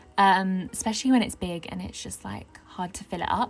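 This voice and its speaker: A woman speaks with a southern English accent over noticeable background noise. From southern England. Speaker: gaming YouTuber. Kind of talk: casual chat over gameplay. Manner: casual, hesitant with fillers.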